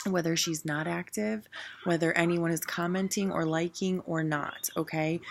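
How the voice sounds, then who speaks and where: A quiet woman's voice, fairly low in pitch, very even in loudness, with ordinary pitch variation at a moderate pace. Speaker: direct sales team leader. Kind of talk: training talk. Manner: casual.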